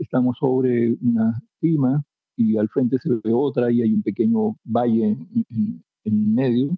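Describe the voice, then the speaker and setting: Using an ordinary speaking voice, a man talks at a fairly slow pace and medium pitch with ordinary pitch variation and very even loudness. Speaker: poet and writer. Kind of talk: interview.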